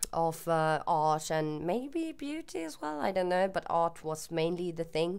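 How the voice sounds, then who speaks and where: Speaking in a Swedish accent, a woman uses a fairly low pitch and lively intonation. Her pace is fairly slow. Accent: Swedish accent, often mistaken for German. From Sweden. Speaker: YouTuber. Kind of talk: casual Q&A monologue. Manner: hesitant, with fillers.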